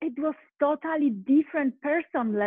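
A woman with a Polish accent talks in an animated tone with lively intonation. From Poland. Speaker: life coach. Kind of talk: interview.

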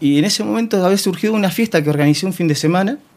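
A man speaks at a very fast pace with a Rioplatense accent. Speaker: swinger party organizer. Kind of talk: interview.

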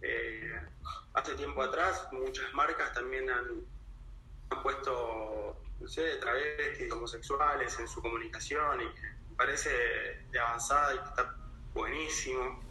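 A man speaks at a very slow pace. Audible room echo and noticeable background noise fill the recording. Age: 30s. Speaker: advertising professional. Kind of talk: interview.

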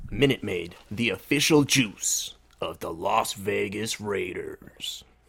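Talking at a fairly slow pace, a man puts on a character voice. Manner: put-on.

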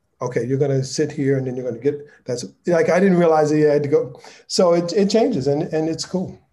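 A dark, mellow tone at a fairly quick pace with ordinary pitch variation. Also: man, fairly high pitch for a man. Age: 50s. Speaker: lighting director and nonprofit founder. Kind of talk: casual interview.

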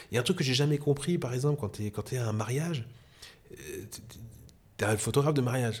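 Somewhat breathy and fairly quick, a man's voice shows ordinary pitch variation. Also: medium pitch for a man. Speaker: photographer. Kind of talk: casual interview chat. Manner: animated, enthusiastic.

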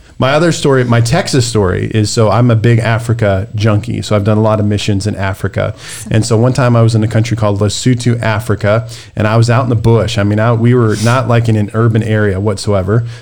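A man's medium-pitched voice at a very fast pace and very even loudness, with music in the background. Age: 40s. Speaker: podcast host and pastor. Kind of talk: casual interview. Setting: podcast interview. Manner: animated.

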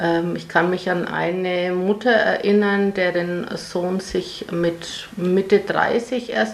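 A woman's voice with noticeable background noise. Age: 60s. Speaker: mother of queer child, parent group member. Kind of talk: interview.

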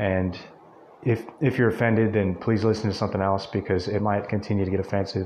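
This is a man's voice. His pace is fairly quick. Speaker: podcast host. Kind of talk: solo motivational monologue. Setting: speaking into a mic alone. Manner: halting, many repetitions; extemporaneous, off the cuff.

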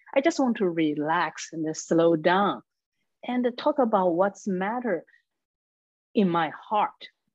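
A woman of medium pitch with a Chinese accent, very slow pace, lively intonation and long, frequent pauses. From China. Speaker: comedian and public speaker. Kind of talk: casual conversation.

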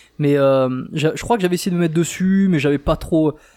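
A man speaks at a fairly quick pace in a fairly high pitch, with ordinary pitch variation and a dark, mellow tone. The recording is very clean, with a silent background. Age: 30s. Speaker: podcast co-host, dating coach. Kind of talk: casual chat. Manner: animated.

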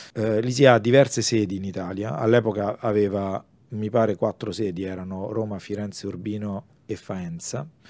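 Using an ordinary speaking voice, a man with a fairly low pitch talks at a moderate pace with fairly even intonation and big swings in loudness. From Rome, Italy. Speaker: comic artist and illustrator. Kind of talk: casual interview chat.

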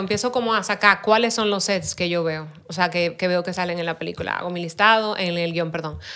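Speaking at a fairly quick pace, a woman has a bright, sharp tone and lively intonation. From Dominican Republic. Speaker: production designer. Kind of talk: casual interview.

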